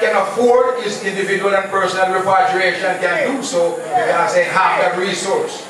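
A man speaks at a high pitch. There is noticeable background noise and strong room echo. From Jamaica. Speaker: Rastafarian speaker. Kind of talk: lecture. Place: hall.

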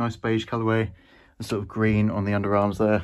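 In a normal speaking voice, a man talks at a fairly quick pace with a fairly low pitch against a quiet background. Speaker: vintage clothing reseller. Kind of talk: casual vlog chat. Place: home room. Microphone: phone near.

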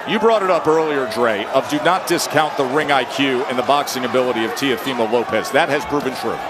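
Against noticeable background noise, the speech runs at a fairly quick pace with hardly any pauses. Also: man, fairly high pitch for a man. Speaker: boxing commentator. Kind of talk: live commentary. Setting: broadcast from arena.

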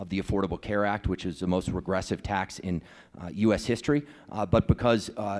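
Against a quiet background, a man with a plain, everyday voice speaks at a fairly low pitch and a fairly quick pace. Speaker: candidate. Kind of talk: debate answer. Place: hall. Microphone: handheld.

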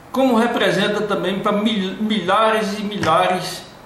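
A fairly slow delivery over noticeable background noise. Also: man. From Brazil, western Bahia. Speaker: local political candidate. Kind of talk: interview.

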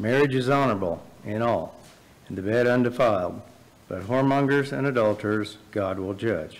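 With ordinary pitch variation, a male speaker keeps to a moderate pace. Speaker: scripture reader. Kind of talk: reading aloud. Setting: church. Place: church.

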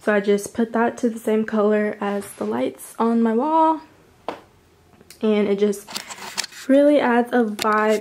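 An unremarkable speaking voice moves at a moderate pace with ordinary pitch variation. Light background noise is present. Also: woman. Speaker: lifestyle vlogger; vlogger. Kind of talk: casual room tour vlog. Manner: filler-heavy, chatty. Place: home room. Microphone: phone near.

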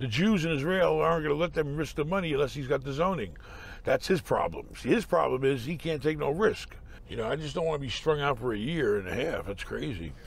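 With vocal fry and lively intonation, a man talks at a very fast pace in a dry sound with no echo. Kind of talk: phone call business talk. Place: car.

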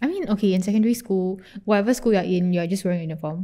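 The voice has a dark, mellow tone and a Singaporean accent. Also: woman. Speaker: podcast co-host. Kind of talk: casual chat.

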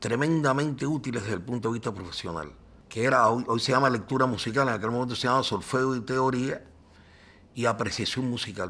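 Speaking in a Cuban accent, a man keeps a fairly quick pace with ordinary pitch variation. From Cuba, Cienfuegos. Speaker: journalist. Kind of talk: interview.

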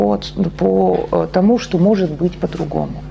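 Faint music plays in the background while a woman speaks fairly slowly. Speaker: psychotherapist; presenter. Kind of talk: lecture. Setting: stage with audience. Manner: halting. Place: meeting room.

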